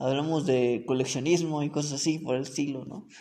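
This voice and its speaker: A man at a fairly slow pace. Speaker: podcast host. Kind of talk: casual chat.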